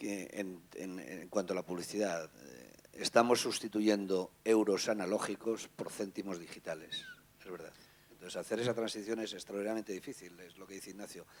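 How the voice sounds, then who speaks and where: In an unremarkable speaking voice, a man with a fairly low pitch talks at a moderate pace, with ordinary pitch variation and big swings in loudness. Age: 50s. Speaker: newspaper editor. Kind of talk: panel talk.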